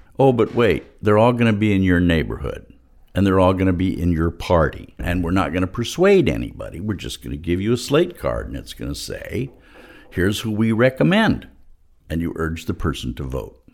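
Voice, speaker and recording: Talking at a fairly quick pace, a man with a very deep, low voice and vocal fry swings his pitch very widely. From Los Angeles, California. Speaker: political organizer and activist. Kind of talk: interview.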